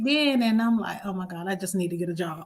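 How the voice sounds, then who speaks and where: In an American accent, the voice comes across as somewhat breathy. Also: woman. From US South, rural North Carolina. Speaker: event planner. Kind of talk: interview. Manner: halting.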